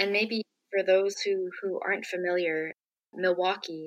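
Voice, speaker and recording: A woman at medium pitch, monotone and flat, in a dry, close sound with no echo. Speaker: podcast host. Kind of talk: interview conversation.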